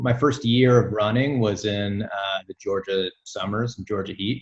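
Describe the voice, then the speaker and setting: This man speaks with an American accent. His voice is somewhat breathy and fairly low in pitch. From US South, Alabama (near Birmingham). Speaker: amateur runner and triathlete. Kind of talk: casual interview chat. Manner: halting, many fillers.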